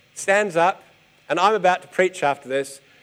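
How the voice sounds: With ordinary pitch variation, the voice moves at a moderate pace in a clear, smooth tone. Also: man.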